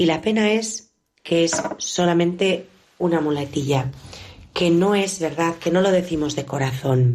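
Speaking in an unremarkable speaking voice, a woman talks at a fairly low pitch and a fairly slow pace, with ordinary pitch variation and very even loudness. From Bilbao area, Spain. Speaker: nun, founder of a religious congregation. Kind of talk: spiritual reflection.

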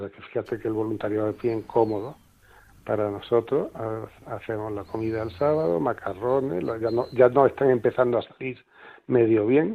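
A man at a moderate pace, medium in pitch, with ordinary pitch variation. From Andalusia, Granada. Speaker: charity volunteer. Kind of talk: interview. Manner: halting, many repetitions.

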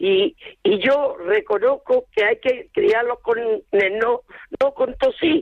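Very wide pitch swings mark a woman's high voice, delivered at a very slow pace with very even loudness. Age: 70s. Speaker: caller, grandmother. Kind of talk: radio call-in. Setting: phone call.

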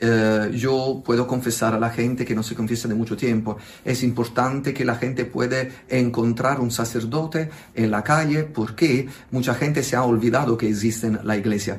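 A man speaks in an Italian accent at a moderate pace. His medium pitch follows fairly even intonation. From southern Italy, Naples. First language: Italian (speaking Spanish). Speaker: priest. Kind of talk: interview. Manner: halting.

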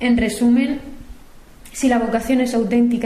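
Noticeable background noise sits behind a woman speaking at a moderate pace with a fairly high pitch. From Murcia, Spain. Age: 20s. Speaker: cloistered nun in formation. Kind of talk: recorded testimony. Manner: halting.

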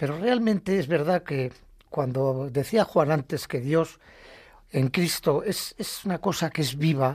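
A man's somewhat breathy voice at a fairly high pitch with very wide pitch swings, in a very clean recording with a silent background. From Basque Country, Bilbao. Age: 70s. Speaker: retired lay catechist. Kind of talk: faith testimony on radio. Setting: radio studio.

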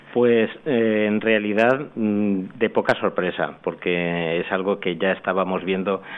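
A man's very slow, fairly low-pitched speech. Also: fairly even intonation. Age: 50s. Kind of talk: radio interview testimony. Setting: hall with live audience. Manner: halting.

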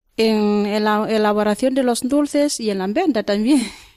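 A woman speaks at a very slow pace in a fairly high pitch. Her tone is dark and mellow, with ordinary pitch variation. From Kenya. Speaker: nun. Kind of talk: interview.

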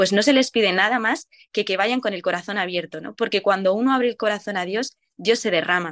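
Here is a woman with a plain, everyday voice at medium pitch, speaking at a fairly quick pace. Her pitch varies in an ordinary way, and the sound is dry and close with no echo. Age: 20s. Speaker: nurse and youth event volunteer. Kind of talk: radio interview.

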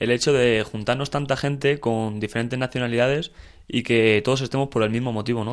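On a very clean recording with a silent background, a man of medium pitch speaks very fast with fairly even intonation. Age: 20s. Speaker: volunteer, student. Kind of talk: casual interview.

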